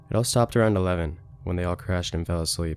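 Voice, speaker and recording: Very fast delivery from a man, ordinary pitch variation throughout. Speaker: story narrator. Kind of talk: scary story narration.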